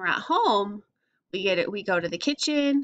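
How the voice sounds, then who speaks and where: Over a quiet background, a woman speaks at a moderate pace with ordinary pitch variation. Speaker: teacher. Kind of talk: reading a social story and explaining it to young children. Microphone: webcam.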